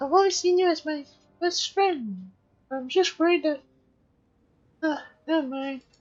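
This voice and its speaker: At a moderate pace, a woman in a put-on character voice uses an extremely high pitch and lively intonation, with long, frequent pauses. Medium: fan dub.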